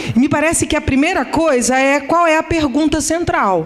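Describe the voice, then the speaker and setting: A woman speaks over noticeable background noise. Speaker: economics professor. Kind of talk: conference lecture. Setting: conference hall with audience. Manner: slow.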